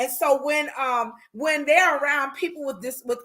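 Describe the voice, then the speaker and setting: A woman speaks at a fairly slow pace in a raised, projected voice, her high pitch and bright, sharp tone carrying ordinary pitch variation. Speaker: life counselor, online show host. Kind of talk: solo talk show, advice monologue. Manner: halting, many fillers and restarts.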